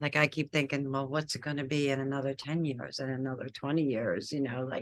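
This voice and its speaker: A woman with a very deep, low pitch speaks at a fairly quick pace in a monotone, flat intonation. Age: 60s. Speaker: podcast host. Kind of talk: casual chat.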